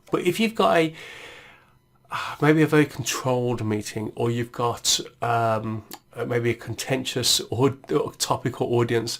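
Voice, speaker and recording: Speaking with an English Midlands accent, a man talks at medium pitch with ordinary pitch variation. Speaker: tech tutorial presenter. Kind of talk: tutorial. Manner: casual, many fillers and restarts.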